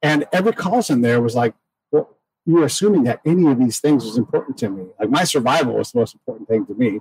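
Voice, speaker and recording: A man's somewhat breathy, very fast speech with an American accent, medium pitch and lively intonation, dry and close with no echo. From California. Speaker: podcast host. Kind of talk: casual chat. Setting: outdoors in a backyard garden.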